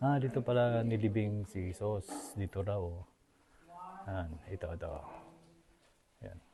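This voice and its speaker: The speech is soft-spoken and fairly slow, with ordinary pitch variation. Long, frequent pauses run through it. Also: man, fairly low pitch for a man. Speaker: travel vlogger. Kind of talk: casual vlog narration. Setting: outdoors, hilltop cave. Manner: soft-spoken, hushed inside cave.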